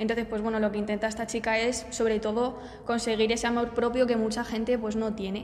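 A woman talks at a very fast pace in a fairly high pitch, her intonation monotone and flat. Noticeable background noise and audible room echo fill the recording. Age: 20s. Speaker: marketing student, podcast co-host. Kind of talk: casual chat.

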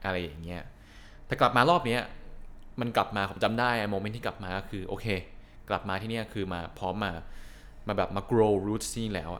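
A man's fairly low voice, a plain, everyday voice, with ordinary pitch variation. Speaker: podcast co-host. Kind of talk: casual chat.

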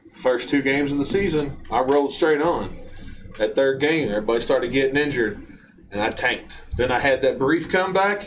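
Noticeable background noise accompanies a man whose pace is fairly quick. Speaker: guest helper and ad voice. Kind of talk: car dealer commercial, hard-sell radio spot parody. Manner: loud, fast-talking, over-the-top pitchman; rhyming, jokey.

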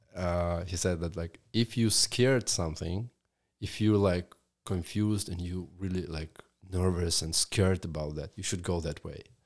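In a very clean recording with a silent background, a man with a Russian accent speaks at a moderate pace in a very deep, low voice with fairly even intonation. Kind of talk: casual interview chat.

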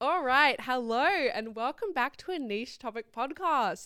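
Someone with an Australian accent speaks at a moderate pace in a bright, sharp tone. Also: woman. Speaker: podcast host. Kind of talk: casual chat.

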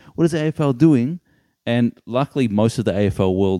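A man with an Australian accent and a dark, mellow tone, his pitch swinging very widely. The sound is dry and close with no echo, on a very clean recording over a silent background. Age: 20s. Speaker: sports podcast co-host. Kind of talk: casual chat.

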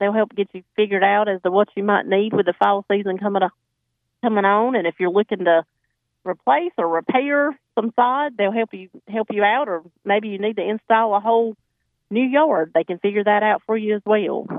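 A woman's voice with a North Carolina accent and ordinary pitch variation. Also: medium pitch for a woman, fairly quick pace. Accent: Southern, Johnston County. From North Carolina, Johnston County. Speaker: farmers market representative. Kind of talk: phone-in chat.

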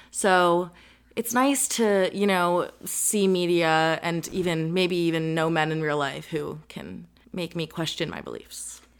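In a normal speaking voice, a woman with an American accent talks at a fairly slow pace with a fairly low pitch and ordinary pitch variation, in a very clean recording with a silent background. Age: 20s. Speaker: podcast co-host, university student. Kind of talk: casual chat.

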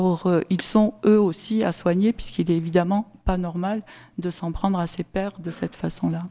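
A woman speaks in a normal speaking voice at medium pitch, with fairly even intonation and a moderate pace. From southern France, Sommières (Gard). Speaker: local official. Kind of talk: conference talk.

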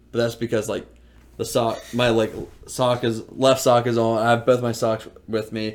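A man with an American accent speaks at a medium pitch in a monotone, flat intonation. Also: moderate pace. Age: 20s. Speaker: podcast co-host. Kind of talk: casual chat.

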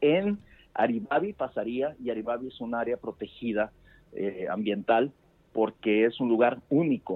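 A man with a plain, everyday voice, medium pitch, lively intonation and a fairly slow pace. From Sonora, Mexico. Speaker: news reporter. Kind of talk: phone interview. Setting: phone call.

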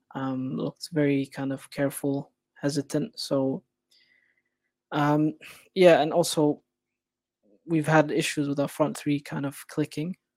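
This man has a fairly high pitch and monotone, flat intonation, with long, frequent pauses. The sound is dry and close with no echo, on a very clean recording with a silent background. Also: fairly slow pace. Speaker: football writer. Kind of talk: casual chat.

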